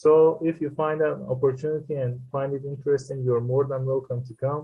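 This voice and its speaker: Speaking fairly quickly in a flat monotone, a man with a non-native accent holds a medium pitch. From Iran. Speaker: filmmaker and screenwriter. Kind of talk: interview. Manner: halting.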